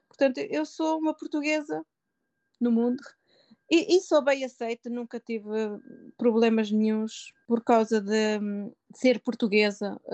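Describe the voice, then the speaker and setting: Lively in intonation and high in pitch, a woman speaks at a fairly slow pace with long, frequent pauses, the sound dry and close with no echo. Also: quiet background. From Portugal, Pombal (Centro region). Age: 50s. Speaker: social worker, emigrant. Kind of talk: interview, personal life story. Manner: hesitant, frequent word repetitions.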